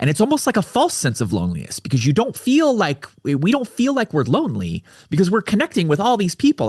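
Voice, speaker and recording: Somewhat breathy and fairly quick, a man with an American accent makes very wide pitch swings in a dry, close sound with no echo and a quiet background. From US West Coast (Orange County, California). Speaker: men's coach, suicide survivor. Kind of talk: interview. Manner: halting, repetitive.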